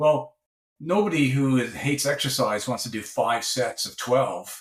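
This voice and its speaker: At a fairly slow pace, a man speaks in a fairly high, somewhat breathy voice with ordinary pitch variation. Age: 60s. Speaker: professor and researcher. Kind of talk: podcast interview.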